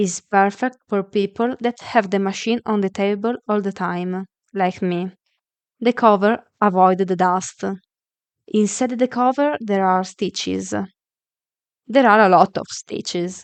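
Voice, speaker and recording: A woman with an Italian accent and a medium pitch speaks at a fairly slow pace with long, frequent pauses and fairly even intonation, recorded dry and close with no echo against a quiet background. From Italy. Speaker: sewing tutorial creator. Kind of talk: product tutorial. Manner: halting, with fillers.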